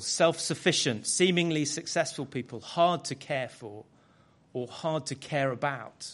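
A plain, everyday voice speaks at a fairly slow pace with ordinary pitch variation. The background is quiet. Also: man. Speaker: guest preacher. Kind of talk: sermon. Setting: church.

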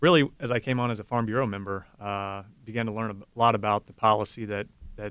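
Here is a man with a fairly low pitch. His tone is bright and sharp. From Shelby County, Ohio. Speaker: farmer.

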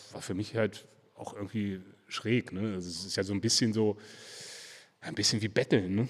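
A man speaks at a fairly low pitch with fairly even intonation. His loudness swings widely, and he takes long, frequent pauses. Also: moderate pace. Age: 40s. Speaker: brewer. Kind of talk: casual interview. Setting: beer festival.

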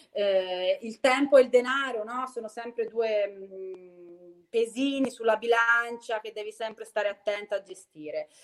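The voice is a normal speaking voice with ordinary pitch variation and big swings in loudness. It moves at a fairly slow pace with hardly any pauses. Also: woman, fairly high pitch for a woman. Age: 40s. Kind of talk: casual chat.

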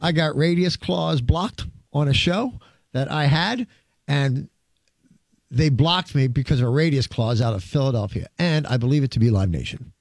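In a very clean recording with a silent background, a man speaks in a fairly high, somewhat breathy voice with lively intonation. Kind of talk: radio DJ patter, hosting a music show. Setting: radio studio. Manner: fast, chatty, rambling.

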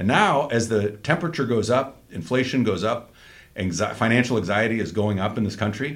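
An ordinary speaking voice, a man of medium pitch at a fairly quick pace with ordinary pitch variation. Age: 50s. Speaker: political podcast host. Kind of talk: casual chat.

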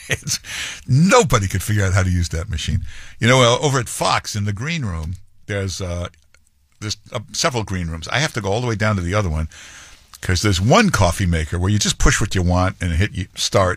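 Fairly low in pitch, a man talks at a fairly quick pace in an ordinary speaking voice. His intonation is lively. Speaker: radio host. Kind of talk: stand-up style monologue. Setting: radio studio.

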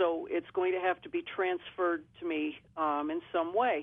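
The delivery is at a moderate pace with ordinary pitch variation. It is an ordinary speaking voice. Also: woman. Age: 50s. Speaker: radio caller. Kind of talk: phone-in question. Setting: phone call.

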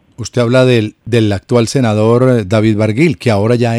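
With a Colombian accent, a man speaks at a moderate pace in a medium pitch, his tone dark and mellow, his pitch varying in an ordinary way, the sound dry and close with no echo. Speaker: radio host. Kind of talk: radio interview. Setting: radio studio. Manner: animated.

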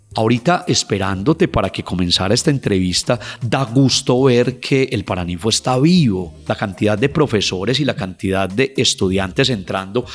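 A man talks at a moderate pace with lively intonation. Music plays in the background. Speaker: anthropologist. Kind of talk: interview, storytelling about local history.

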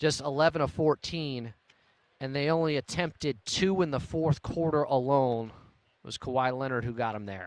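A man with a fairly high pitch speaks at a moderate pace with ordinary pitch variation. It is a plain, everyday voice, in a dry, close sound with no echo. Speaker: post-game radio host. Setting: radio studio broadcast.

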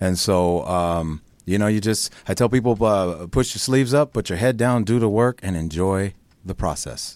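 In a plain, everyday voice, a man with an American accent talks at a moderate pace, his fairly low pitch showing ordinary variation, on a very clean recording with a silent background. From Chicago, then Northern California. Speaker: soap opera actor. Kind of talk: casual interview chat.

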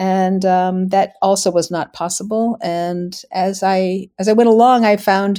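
A woman's dark, mellow voice with an American accent, medium in pitch and fairly even in intonation. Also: very clean recording, silent background. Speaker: author and photo historian. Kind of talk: interview about local history. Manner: conversational, slightly hesitant.

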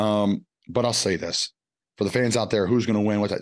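A man with an American accent talks at a fairly quick pace against a quiet background. His is an unremarkable speaking voice, fairly low in pitch. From Pennsylvania, Philadelphia area. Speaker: former NFL tight end. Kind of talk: casual chat.

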